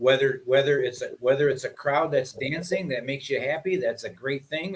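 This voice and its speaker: A man speaks in a somewhat breathy voice. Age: 60s. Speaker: musician. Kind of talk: casual chat. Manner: animated.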